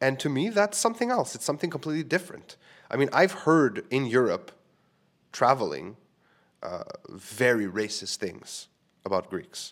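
Using a fairly high pitch with vocal fry, a man speaks at a moderate pace, his pitch swinging very widely between long, frequent pauses. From Quebec, Canada. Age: 30s. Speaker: podcast host and live comedy show host. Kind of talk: casual solo podcast monologue. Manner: rambling, casual, humorous, swears often.

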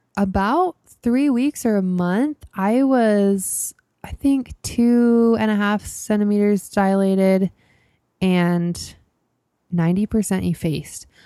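A woman with an American accent and a dark, mellow tone speaks very slowly at medium pitch with ordinary variation, the sound dry and close with no echo. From US West, Idaho. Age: 20s. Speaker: podcast host. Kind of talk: personal storytelling monologue.

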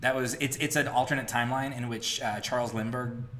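Through noticeable background noise, a man speaks at a medium pitch in a monotone, flat intonation. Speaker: podcast host. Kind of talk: casual chat. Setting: home recording.

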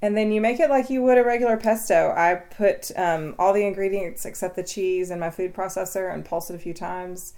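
With an East Tennessee accent, a woman speaks at a fairly quick pace with hardly any pauses, her medium-pitched voice dark and mellow in tone with ordinary pitch variation. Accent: East Tennessee Southern. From East Tennessee (Athens). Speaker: author and gardener. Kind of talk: interview. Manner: casual with fillers.

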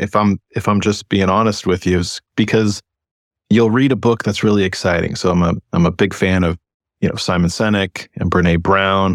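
A man with an ordinary speaking voice and fairly low pitch talks at a moderate pace, with ordinary pitch variation and very even loudness. The recording is very clean, with a silent background and a dry, close sound with no echo. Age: 30s. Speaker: EMS leader and wellness program manager. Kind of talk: interview conversation.

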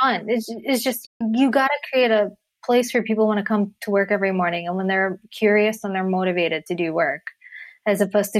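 A woman with an American accent talks at a moderate pace with lively intonation, in an ordinary speaking voice. The sound is dry and close, with no echo. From Connecticut, US. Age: 40s. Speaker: podcast host and creative director. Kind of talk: casual interview chat.

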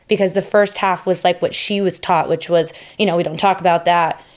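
A woman with a plain, everyday voice speaks at a fairly quick pace, her medium pitch carried on fairly even intonation. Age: 20s. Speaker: podcast guest. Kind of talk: casual chat. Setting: studio.

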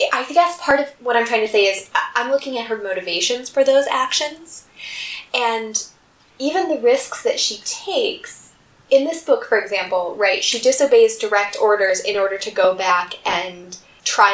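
Over noticeable background noise, a woman speaks fairly slowly at a fairly high pitch with lively intonation. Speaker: podcast co-host. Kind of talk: casual chat.

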